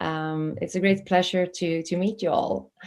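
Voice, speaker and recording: A woman at a medium pitch and a fairly slow pace in a very clean recording with a silent background. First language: not English. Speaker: festival interview host. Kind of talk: interview hosting.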